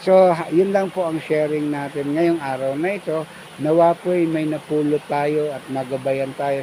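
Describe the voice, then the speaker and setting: A Filipino accent at a fairly slow pace, with noticeable background noise. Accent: Filipino (Tagalog) accent, Taglish. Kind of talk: devotional talk. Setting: outdoors at a waterfall.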